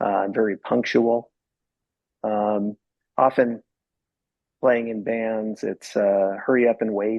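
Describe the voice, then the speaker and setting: A man talks with a fairly low pitch. His intonation is fairly even, and his pace is fairly slow. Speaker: musician in bands; interview guest. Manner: mellow, calm delivery.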